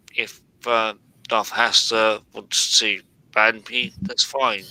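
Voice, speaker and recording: A man with a British accent, medium pitch, a bright, sharp tone and a very slow pace. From UK. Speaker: live stream participant. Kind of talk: casual chat. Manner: animated.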